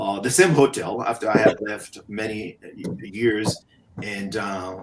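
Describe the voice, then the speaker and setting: With a Haitian accent, a man speaks at a fairly slow pace in a fairly low pitch with ordinary pitch variation. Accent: Haitian accent, sing-song cadence. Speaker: motivational speaker. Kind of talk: interview storytelling.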